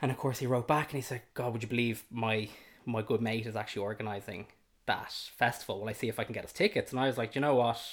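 A very fast delivery in a Dublin accent, with fairly even intonation, on a very clean recording with a silent background. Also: man, medium pitch for a man. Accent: Dublin Irish. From Ireland, south Dublin. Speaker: host's partner. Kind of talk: casual chat. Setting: at home.

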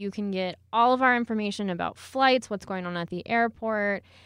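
Against a quiet background, a woman with a normal speaking voice and an American accent talks at a moderate pace, medium in pitch, with fairly even intonation. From Texas, Houston. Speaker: airport communications staff. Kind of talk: interview. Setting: studio.

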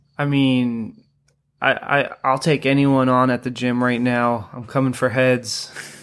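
Over a very clean recording with a silent background, a man with an American accent speaks fairly slowly. His pitch is medium and his intonation monotone and flat. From New Hampshire, US. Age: 30s. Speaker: jiu-jitsu student. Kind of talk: casual chat.

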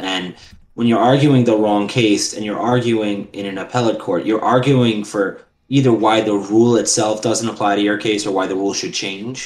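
With an American accent, the speaker keeps fairly even intonation at a moderate pace amid audible room echo. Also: man, fairly low pitch for a man. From New York City, Queens. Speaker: lawyer. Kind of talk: casual chat.

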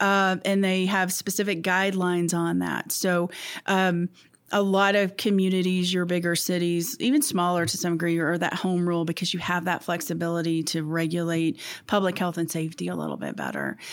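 A woman speaks in a normal speaking voice at a fairly low pitch. Her intonation is fairly even. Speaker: city clerk. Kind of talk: casual interview conversation.

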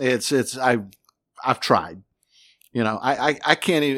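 A man with an American accent and an unremarkable speaking voice talks at a moderate pace in a very clean recording with a silent background. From North Carolina (Newton, near Hickory). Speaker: meteorologist. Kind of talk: casual chat.

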